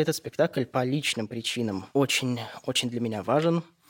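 A man's plain, everyday voice at a moderate pace with ordinary pitch variation, dry and close with no echo. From St. Petersburg, Russia. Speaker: radio host. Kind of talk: scripted narration. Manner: formal.

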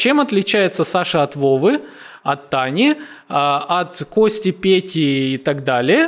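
Speaking at a very slow pace, a man uses a high pitch with very wide swings while his loudness stays very even. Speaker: marketing podcast host. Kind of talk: casual chat. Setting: in person, non-standard recording location. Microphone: sound quality poor in places.

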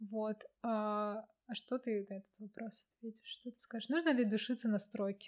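A woman with a normal speaking voice, a fairly high pitch and fairly even intonation, at a moderate pace with big swings in loudness. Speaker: podcast host. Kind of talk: casual interview chat.

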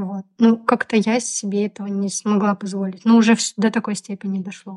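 Somewhat breathy and pitched in the middle range, this woman talks at a moderate pace with flat, monotone intonation in a dry, close recording free of echo. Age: 30s. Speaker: podcast co-host. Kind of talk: casual chat.

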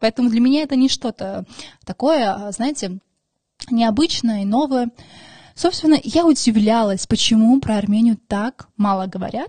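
A woman with an Armenian accent speaks at a fairly slow pace, fairly high in pitch, in a dark, mellow tone with ordinary pitch variation. Her speech has long, frequent pauses, and the sound is dry and close with no echo. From Armenia, then Moscow from age 5. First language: Armenian (speaking Russian). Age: 20s. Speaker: podcast host and social media creator. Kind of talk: casual monologue. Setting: studio.

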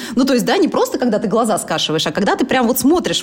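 A woman speaks at a fairly high pitch with lively intonation. Noticeable background noise can be heard. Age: 30s. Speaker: blogger and entrepreneur. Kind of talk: casual interview chat.

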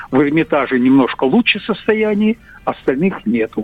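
Pitch swings very widely in this man's voice. He speaks at a fairly slow pace. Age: 80s+. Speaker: caller. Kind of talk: testimony. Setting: phone call.

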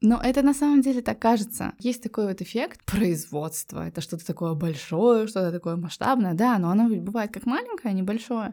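A woman speaks at a moderate pace in a dark, mellow tone. The recording is very clean, with a silent background. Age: 30s. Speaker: entrepreneur. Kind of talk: interview.

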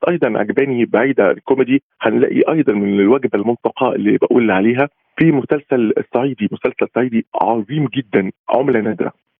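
A man's plain, everyday voice at a medium pitch, fairly quick pace and ordinary pitch variation. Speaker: art critic. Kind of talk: remote interview.

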